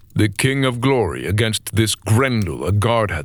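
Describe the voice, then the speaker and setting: In a very clean recording with a silent background, a man with an unremarkable speaking voice talks fairly slowly at a medium pitch with ordinary pitch variation. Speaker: voice actor. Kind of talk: audiobook narration of epic poetry.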